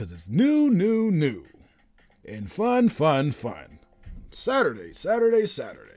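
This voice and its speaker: A man does a put-on character voice, pitched high, at a fairly slow pace. Faint music plays in the background. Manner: loud, hyped, repetitive.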